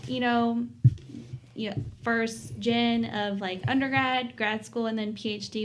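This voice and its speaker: At a moderate pace, a woman of medium pitch talks with an Appalachian accent. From Southwest Virginia, Appalachia. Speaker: PhD student. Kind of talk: podcast interview answer. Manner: casual, conversational.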